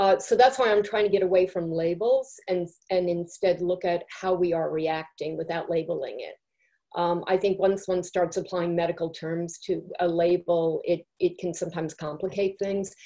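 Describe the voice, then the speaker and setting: The tone is dark and mellow, with fairly even intonation. The pace is moderate and the background quiet. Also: woman, fairly low pitch for a woman. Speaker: journalism trauma expert; panel expert on emotional stress. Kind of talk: expert explanation. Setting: video call. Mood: calm, thoughtful, reassuring. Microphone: video call.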